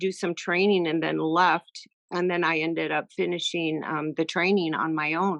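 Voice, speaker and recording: A woman speaks at a fairly low pitch and a fairly slow pace, her intonation flat and monotone. The sound is dry and close with no echo, over a quiet background. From US (Sarasota, Florida), circus family. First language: French. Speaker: circus aerialist and horse trainer. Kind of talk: interview. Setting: video call.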